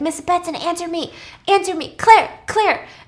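A squeaky put-on character voice moves at a very slow pace with fairly even intonation. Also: woman, extremely high pitch for a woman. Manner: frantic, calling out.

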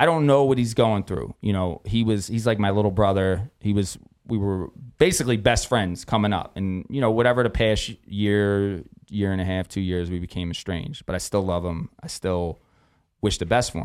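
In a Philadelphia accent, a man speaks at a moderate pace. His pitch is fairly low, with ordinary variation. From US, South Philadelphia. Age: 40s. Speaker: boxing matchmaker and event coordinator. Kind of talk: casual chat. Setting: studio.

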